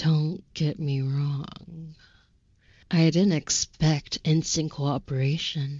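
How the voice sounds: A woman speaks in a put-on character voice with a very deep, low pitch. Her pace is very slow.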